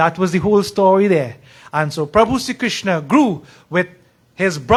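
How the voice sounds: Natural reading voice throughout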